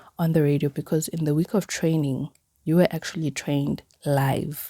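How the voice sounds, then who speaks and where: A woman talks with a very deep, low pitch and a dark, mellow tone. Her voice is somewhat breathy. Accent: Zulu. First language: Zulu. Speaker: podcaster. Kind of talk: personal podcast monologue. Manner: casual, filler-heavy.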